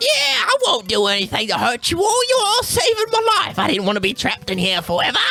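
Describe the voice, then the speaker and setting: Over faint music in the background, a man rattles off lines in a put-on character voice at a very fast pace. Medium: actual play. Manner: chatty, cheeky, enthusiastic.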